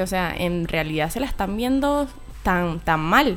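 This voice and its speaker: With music playing in the background, a woman speaks at a moderate pace and a medium pitch. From Venezuela, Maturín (eastern). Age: 20s. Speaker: YouTuber and student. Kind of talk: radio interview.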